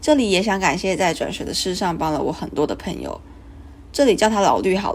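A woman's voice with vocal fry and lively intonation at a moderate pace. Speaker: student podcaster. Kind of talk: casual monologue.

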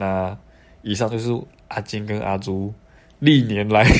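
Speaking at a fairly slow pace, a man with a Taiwanese accent has a fairly low pitch. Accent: Taiwanese Mandarin. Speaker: podcast host. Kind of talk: casual chat.

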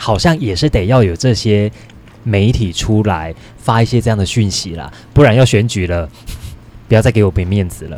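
Here a man with a fairly low pitch talks at a moderate pace with lively intonation. Long, frequent pauses break up his speech. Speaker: real estate podcast host. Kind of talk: casual chat.

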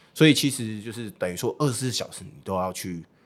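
In a very clean recording with a silent background, a man with an unremarkable speaking voice talks at a moderate pace, his fairly low pitch showing ordinary variation. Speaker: baseball team livestream host and former interpreter. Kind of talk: casual interview chat.

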